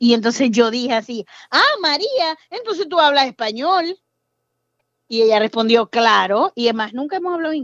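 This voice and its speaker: A woman with a Zulian accent speaks at a moderate pace in a high pitch with lively intonation. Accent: Venezuelan Spanish, Zulian (voseo). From Venezuela, Maracaibo. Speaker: pediatrician working as medical assistant. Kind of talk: casual interview.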